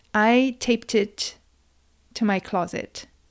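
A woman speaks in a calm tone. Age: 30s. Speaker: podcast host. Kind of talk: solo podcast monologue. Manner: calm, guiding.

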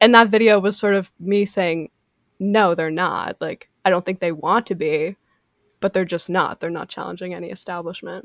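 The speaker has a normal speaking voice at a moderate pace, with big swings in loudness. The sound is dry and close, with no echo. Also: woman, medium pitch for a woman. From Canada. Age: 20s. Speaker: TikTok creator and writer. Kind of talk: casual interview chat. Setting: video call. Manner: articulate.

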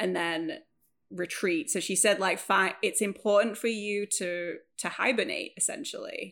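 A woman speaks with a Lancashire accent at a fairly slow pace. The recording is very clean, the background silent. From northern England, Preston. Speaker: author and video editor. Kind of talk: casual chat.

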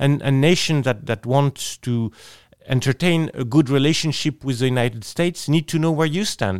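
Man with a French accent and a fairly high pitch, moderate pace, dry and close sound with no echo. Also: ordinary pitch variation. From France. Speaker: politician, member of the European Parliament. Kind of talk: interview. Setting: studio. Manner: halting, with frequent repetitions.

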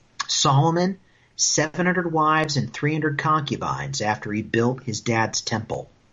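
Here a man talks with lively intonation in a normal speaking voice. His pitch is fairly high. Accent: American. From US Midwest (Indiana, Iowa). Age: 30s. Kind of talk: casual chat.

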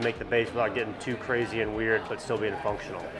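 Very fast speech in an American accent comes through noticeable background noise. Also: man. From South Carolina, Anderson. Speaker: woodworker and small business owner. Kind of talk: interview.

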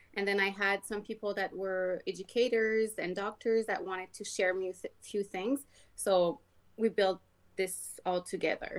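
A woman speaks with a Quebec accent at a moderate pace. Her medium-pitched voice stays monotone and flat. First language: French. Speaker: skin care sales rep. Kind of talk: casual interview.

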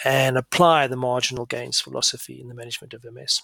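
Here a man speaks at a fairly quick pace. The sound is dry and close, with no echo. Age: 50s. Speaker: MS neurologist and researcher. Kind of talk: solo podcast monologue. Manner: hesitant, many filler sounds.

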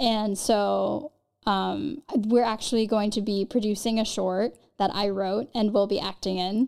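In a Californian accent, a woman speaks at medium pitch and a fairly slow pace, her intonation fairly even. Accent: Californian American. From Los Angeles, Marina Del Rey area. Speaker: actress. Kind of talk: casual interview chat.

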